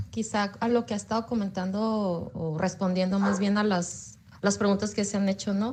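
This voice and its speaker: With fairly even intonation and a medium pitch, a woman talks in a somewhat breathy voice. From Baja California, Mexico. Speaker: psychology graduate student. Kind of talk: audience question in online talk. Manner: halting, many fillers.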